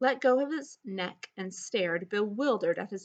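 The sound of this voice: Intonation in the unforced reading voice is lively. Behind it, all is quiet.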